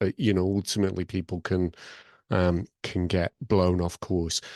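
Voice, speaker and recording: In a Lancashire accent, a man with a very deep, low pitch talks at a fairly slow pace in a monotone, flat intonation, recorded with a dry, close sound with no echo against a quiet background. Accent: Lancashire accent, kept. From northern England, Blackburn (Lancashire). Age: 50s. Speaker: podcast host. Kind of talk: online panel discussion.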